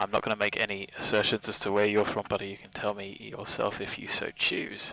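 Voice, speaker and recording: A man with a British accent talks in a relaxed tone and a fairly low pitch, his intonation monotone and flat while his loudness swings widely. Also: fairly quick pace. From UK. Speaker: flight sim streamer. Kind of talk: live stream commentary. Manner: casual, relaxed.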